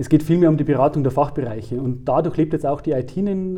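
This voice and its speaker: A man talks very fast with ordinary pitch variation. His voice is fairly high in pitch, with a dark, mellow tone. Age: 40s. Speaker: IT consultant and author. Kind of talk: interview.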